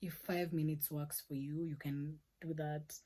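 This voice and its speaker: A woman speaks at a very deep, low pitch. Her dark, mellow tone stays monotone, with flat intonation. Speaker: YouTuber, cybersecurity learner. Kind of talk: casual vlog, study tips. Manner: loud.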